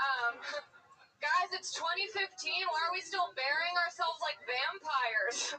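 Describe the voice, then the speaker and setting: With very wide pitch swings, a woman speaks at an extremely high pitch and a fairly slow pace. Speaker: stand-up comedian. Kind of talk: stand-up.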